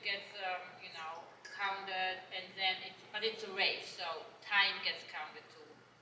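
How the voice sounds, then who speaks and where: A woman with a German accent speaks at medium pitch and a fairly slow pace. Her intonation stays fairly even, with audible room echo and noticeable background noise. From Germany. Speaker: horse trainer. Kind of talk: panel talk.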